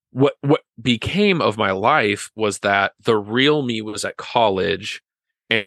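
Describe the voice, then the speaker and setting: A man speaks in an American accent with a bright, sharp tone and ordinary pitch variation. The sound is dry and close with no echo, over a quiet background. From western Nebraska, small town. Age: 30s. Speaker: podcast guest, friend of host. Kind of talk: casual chat. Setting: video call.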